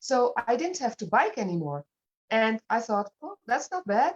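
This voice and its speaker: Very wide pitch swings with a Dutch accent. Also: woman, dry, close sound with no echo. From Netherlands. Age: 50s. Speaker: fitness program client. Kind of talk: interview.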